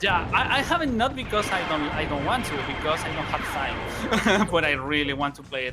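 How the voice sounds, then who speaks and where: With hardly any pauses, a man with a fairly high pitch talks at a moderate pace using very wide pitch swings, over noticeable background noise and audible room echo. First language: not English. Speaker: speedrunner. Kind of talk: live commentary. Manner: halting.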